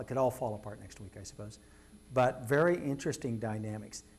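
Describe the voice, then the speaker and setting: Here a man speaks with an American accent at a fairly low pitch. His voice sounds somewhat breathy. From Kansas. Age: 60s. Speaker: artist. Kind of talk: public lecture. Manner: informal, with frequent hesitations.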